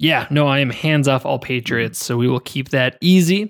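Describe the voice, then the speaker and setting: A plain, everyday voice from a man, fairly high in pitch, at a moderate pace with lively intonation, dry and close with no echo, in a very clean recording with a silent background. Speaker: fantasy football podcast host. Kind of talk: casual sports banter, podcast preview.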